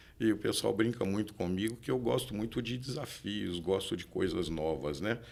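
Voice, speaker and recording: Moving at a moderate pace, a man with a fairly low pitch speaks with lively intonation. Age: 60s. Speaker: real estate broker and engineer. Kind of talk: podcast interview. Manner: halting.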